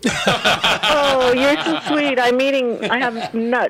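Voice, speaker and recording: There is noticeable background noise as a woman talks in a fairly high voice. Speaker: radio show caller. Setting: phone.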